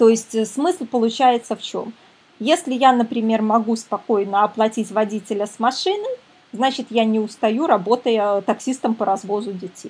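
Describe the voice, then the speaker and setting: There is noticeable background noise as a woman speaks at a moderate pace. Her pitch is fairly high, with ordinary variation. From Belarus, Minsk. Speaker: psychologist and parenting coach. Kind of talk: webinar lecture. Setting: online webinar.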